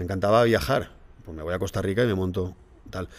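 In a very clean recording with a silent background, a man delivers his words at a fairly quick pace. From Spain, Valencia region (Alzira). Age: 40s. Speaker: teacher and fitness event promoter. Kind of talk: casual interview. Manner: animated.

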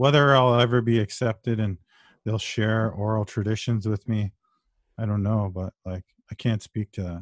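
A man with a Canadian accent talks in a plain, everyday voice at fairly low pitch and a moderate pace, with fairly even intonation. The sound is dry and close with no echo, against a quiet background. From Ontario, Canada (Brampton). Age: 40s. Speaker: author and history scholar. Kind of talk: interview conversation.

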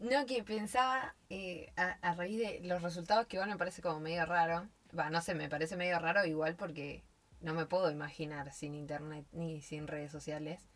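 At a moderate pace, a woman with a plain, everyday voice speaks in a fairly low pitch with ordinary pitch variation. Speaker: podcast co-host. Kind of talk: casual chat. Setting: recording inside a wardrobe at home.

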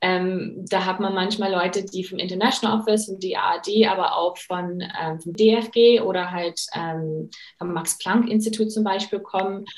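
A woman at medium pitch talks at a fairly slow pace with fairly even intonation and hardly any pauses. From USA. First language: English (speaking German). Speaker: career coach and master's student. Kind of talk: interview.

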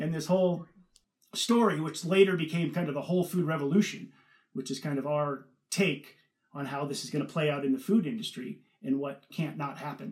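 This man has a Californian accent and a fairly high pitch. He talks at a fairly quick pace. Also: ordinary pitch variation. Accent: Californian American. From Northern California. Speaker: food company co-founder and investor. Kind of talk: interview.

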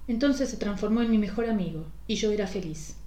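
Somewhat breathy, a woman with a dark, mellow tone speaks at a moderate pace. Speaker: podcast host reading a short story. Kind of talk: ghost story narration, first-person scripted reading.

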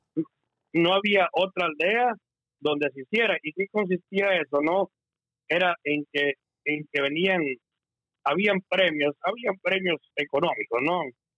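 Using long, frequent pauses, a man speaks at a fairly slow pace in a high pitch with ordinary pitch variation. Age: 50s. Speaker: entertainer. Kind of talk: casual chat.

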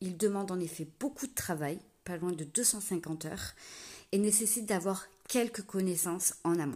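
On a very clean recording with a silent background, a woman with a medium pitch speaks at a fairly slow pace in a dark, mellow, somewhat breathy tone with ordinary pitch variation. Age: 30s. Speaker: wedding planner, podcast host. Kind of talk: scripted solo podcast intro.

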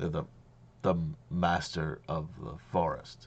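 Using a put-on character voice, a man talks at a fairly slow pace in a very deep, low register. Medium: actual play. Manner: formal, terse.

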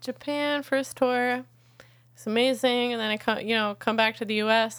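A woman with an American accent has an ordinary speaking voice, pitched fairly high, with fairly even intonation at a moderate pace. The recording is very clean, with a silent background. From upstate New York (Catskills). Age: 30s. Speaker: musician. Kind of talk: casual interview chat.

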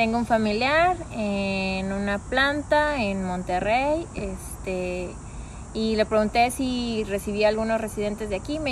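A woman talks at a medium pitch with ordinary pitch variation. Audible room echo surrounds her voice. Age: 20s. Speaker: office worker. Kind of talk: casual interview.

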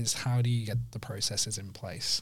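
At a moderate pace, a man with an English accent speaks in a somewhat breathy voice. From northern England, Sheffield. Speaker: digital marketing agency owner. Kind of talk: casual interview.

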